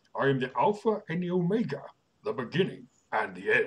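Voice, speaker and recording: A man puts on a character voice, pitched high and moving at a fairly quick pace. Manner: grandiose, menacing.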